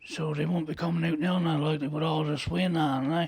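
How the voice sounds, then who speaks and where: A man's fairly high voice with a Newfoundland accent. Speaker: lighthouse keeper. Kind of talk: interview answer. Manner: casual, storytelling.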